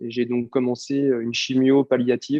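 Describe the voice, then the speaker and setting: At a medium pitch and moderate pace, a man speaks with monotone, flat intonation. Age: 30s. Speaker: cancer patient. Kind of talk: testimony. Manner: halting, many fillers.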